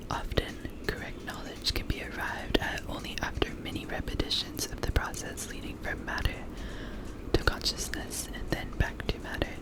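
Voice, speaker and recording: Noticeable background noise beneath a whisper at medium speed. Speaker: ASMR reader. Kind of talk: ASMR reading of a political text. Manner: whispered.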